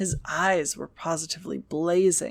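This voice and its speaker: Fairly low in pitch, a woman speaks with fairly even intonation. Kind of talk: audiobook reading. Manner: soft-spoken.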